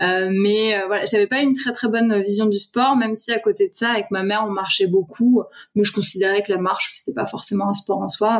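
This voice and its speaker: A woman speaks at a fairly quick pace and medium pitch, her intonation fairly even. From Paris region, France (Essonne). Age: 30s. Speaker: author and pilgrimage traveller. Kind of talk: podcast interview. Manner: casual, hesitant.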